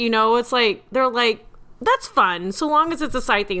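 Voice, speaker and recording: In a raised, projected voice, a woman speaks with an American accent and a bright, sharp tone. Her pitch swings very widely. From US Midwest. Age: 40s. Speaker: podcast host. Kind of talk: casual chat.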